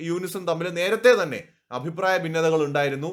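A man with a high-pitched voice on a very clean recording with a silent background. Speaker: news commentator. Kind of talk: political commentary monologue.

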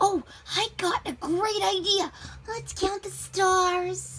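In a put-on character voice with extremely high pitch, the speaker goes at a very slow pace against clear background noise. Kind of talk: children's story read-aloud. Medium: read story. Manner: wheedling, insistent. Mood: eager.

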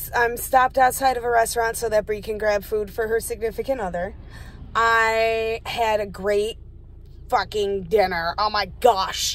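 A woman speaks at a fairly slow pace, and the sound is dry with no echo. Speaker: vlogger. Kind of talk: casual vlog chat. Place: car.

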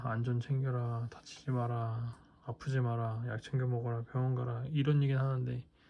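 A man speaks at a moderate pace in a flat monotone at medium pitch. His tone is dark and mellow, and somewhat breathy. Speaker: ASMR creator. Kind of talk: ASMR talk to camera before sleep. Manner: soft-spoken, casual, rambling.

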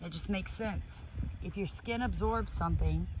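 The sound is dry with no echo. Noticeable background noise is present. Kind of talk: casual explanatory vlog chat. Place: garden. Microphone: phone near.

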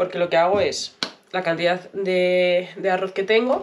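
A woman's fairly even intonation and fairly slow pace come through noticeable background noise. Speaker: vlogger. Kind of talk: casual vlog chat. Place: kitchen. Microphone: phone near.

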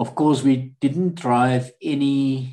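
With a dark, mellow tone and fairly even intonation, a man speaks at a medium pitch over a quiet background. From South Africa. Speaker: war veteran. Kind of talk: interview. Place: home room. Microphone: webcam.

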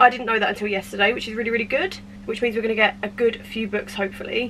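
A woman talks at a very fast pace. Light background noise is present. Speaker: book vlogger. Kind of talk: casual vlog chat. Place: home room. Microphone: camera far.

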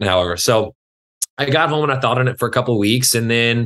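A man speaks at a very fast pace in an American accent, his pitch medium with ordinary variation, over a quiet background. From West Texas (Lubbock area). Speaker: fitness trainer. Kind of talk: casual interview chat. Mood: relaxed storytelling. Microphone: video call.

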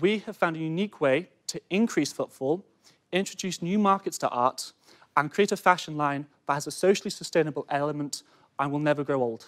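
A man with a northern English accent speaks at a fairly quick pace against a quiet background. His pitch is fairly high, with ordinary pitch variation. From Cheshire, England; England. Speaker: student entrepreneur. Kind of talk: sales pitch. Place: studio. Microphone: lapel.

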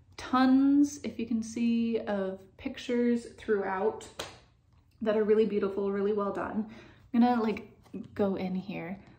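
Using an unremarkable speaking voice, a woman with fairly high pitch talks at a fairly slow pace with fairly even intonation. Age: 30s. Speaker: knitting video podcaster. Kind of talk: casual chat. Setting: at home, filming alone. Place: home room. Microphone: phone near.

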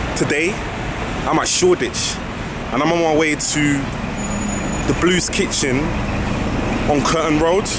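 A man speaks at a moderate pace, leaving long, frequent pauses. The sound is dry with no echo, and loud background noise runs underneath. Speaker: food reviewer vlogger. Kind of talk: casual vlog chat. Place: street. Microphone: phone near.

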